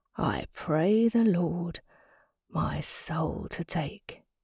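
Putting on a character voice in a Thames Estuary accent, a woman speaks very slowly in a raspy, fairly low pitch with lively intonation. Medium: read story. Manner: smug, taunting, mock-pious; loves the sound of his own voice, chatty.

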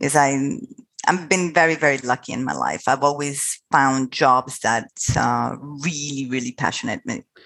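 Speaking at a moderate pace, a woman with very deep, low pitch keeps her intonation fairly even and shows vocal fry. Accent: Italian. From Italy. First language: Italian. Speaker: international school recruitment executive. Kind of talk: interview.

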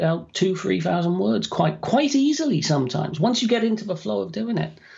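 Speaking at a moderate pace, a man with a British accent uses a high pitch. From UK. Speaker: author and dictation software trainer. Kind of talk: podcast interview.

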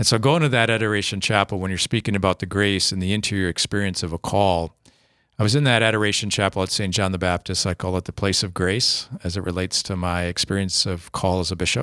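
Very fast and with fairly even intonation, a man with an Upper Midwest accent speaks in a very deep, low pitch and a bright, sharp tone, the sound dry and close with no echo in a very clean recording with a silent background. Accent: Upper Midwest American. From Minnesota, rural area near Faribault. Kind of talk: casual interview about faith. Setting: studio.

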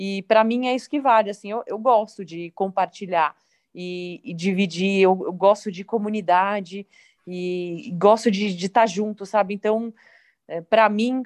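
A normal speaking voice at a fairly slow pace, with ordinary pitch variation, a dry, close sound with no echo and a quiet background. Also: woman. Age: 30s. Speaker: professional cyclist. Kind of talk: interview.

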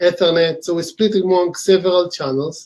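This man speaks with an Israeli accent. His pitch is high. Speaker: company co-founder and executive. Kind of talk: interview.

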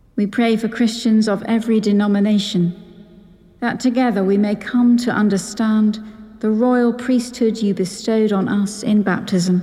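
The voice holds a very even loudness at a moderate pace, with monotone, flat intonation. Noticeable background noise runs underneath. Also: woman, fairly high pitch for a woman. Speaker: priest. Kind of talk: liturgical prayer.

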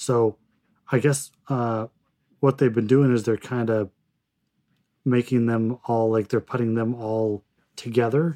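With a dark, mellow tone and monotone, flat intonation, the voice moves at a fairly slow pace with long, frequent pauses in a dry, close sound with no echo. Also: man, medium pitch for a man. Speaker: gaming podcast co-host. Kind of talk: casual chat. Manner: halting, many fillers.

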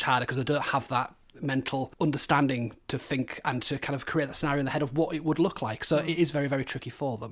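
In a Yorkshire accent, a man talks at a very fast pace with fairly even intonation. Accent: Hull, Yorkshire. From Hull, northern England. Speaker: primary teacher and history specialist. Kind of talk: interview conversation.

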